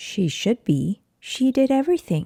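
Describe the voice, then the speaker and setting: A female-sounding put-on character voice, high in pitch, moves along at a moderate pace. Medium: read story. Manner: slow.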